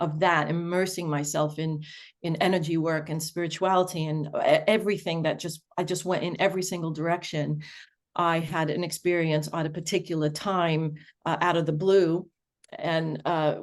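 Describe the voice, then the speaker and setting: Against a quiet background, a woman with a fairly low pitch speaks at a moderate pace in a monotone, flat way. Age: 60s. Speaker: spiritual teacher and energy worker. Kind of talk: interview conversation. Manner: halting, many repeated words.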